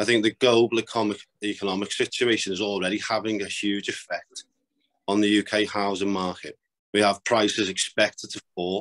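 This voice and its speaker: Speaking at a fairly quick pace with a northwest England accent, this voice has a dry, close sound with no echo over a quiet background. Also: man. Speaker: property developer. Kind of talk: interview.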